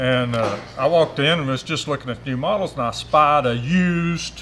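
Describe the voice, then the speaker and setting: In an Appalachian accent, a man speaks at a medium pitch and a moderate pace, with lively intonation. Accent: Southern US (Appalachian). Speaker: motorcycle rider. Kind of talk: storytelling. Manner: halting, many fillers.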